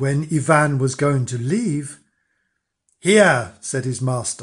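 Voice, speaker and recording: Against a quiet background, a man uses a fairly high, somewhat breathy voice with ordinary pitch variation and a theatrical tone, moving at a very slow pace. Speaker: storyteller. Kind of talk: fairy-tale narration, read aloud with character voices. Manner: slow, storyteller's pace, dark and theatrical.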